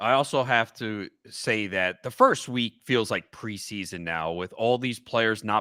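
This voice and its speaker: In a New York accent, a man speaks at a fairly slow pace with a fairly low pitch, ordinary pitch variation and a bright, sharp tone, on a very clean recording with a silent background and a dry, close sound with no echo. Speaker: fantasy football analyst. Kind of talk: casual chat.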